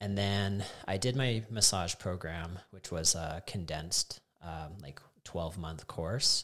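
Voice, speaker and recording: A man speaks with a Canadian accent at a very deep, low pitch. The recording is very clean, with a silent background. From Alberta, Canada (Calgary, Canmore). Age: 40s. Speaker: fitness coach. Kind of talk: casual chat.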